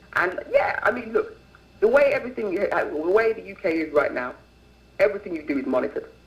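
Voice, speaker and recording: The speech rushes at a very fast pace yet breaks into long, frequent pauses. Loudness swings widely over noticeable background noise. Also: man. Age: 20s. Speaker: activist guest on talk show. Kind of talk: interview on call-in show. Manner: animated.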